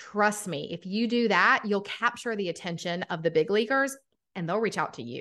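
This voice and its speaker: Against a quiet background, a woman speaks at a medium pitch in a Southern US accent with a bright, sharp tone. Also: moderate pace. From Atlanta, Georgia. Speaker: podcaster and business coach. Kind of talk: casual interview chat.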